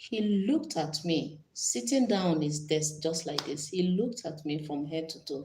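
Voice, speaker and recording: This woman talks at a moderate pace with hardly any pauses and a fairly low pitch. Her voice is somewhat breathy, and her intonation is lively. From Nigeria. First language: Nigerian language (not English). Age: 40s. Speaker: YouTuber. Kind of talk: casual live stream chat. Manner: animated.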